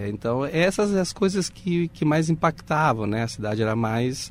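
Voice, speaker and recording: A man with a Spanish accent speaks using lively intonation. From Uruguay. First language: Spanish (speaking Portuguese). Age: 50s. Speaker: audiovisual producer. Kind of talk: interview.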